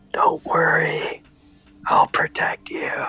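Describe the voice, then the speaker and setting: The voice is a put-on character. It whispers. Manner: whispering, reassuring.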